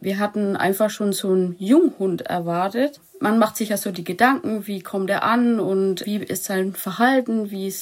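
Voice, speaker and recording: A woman speaks in a plain, everyday voice at a medium pitch. She goes at a fairly slow pace with ordinary pitch variation. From Lower Franconia, Germany. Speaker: dog owner, animal welfare volunteer. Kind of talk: interview.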